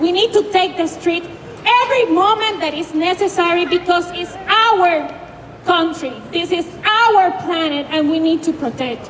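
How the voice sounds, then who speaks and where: Over noticeable background noise, a woman with an extremely high pitch speaks at a fairly slow pace with ordinary pitch variation. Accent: Puerto Rican. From Puerto Rico. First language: Spanish. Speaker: grassroots activist. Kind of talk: protest speech. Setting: outdoors at street protest. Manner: halting.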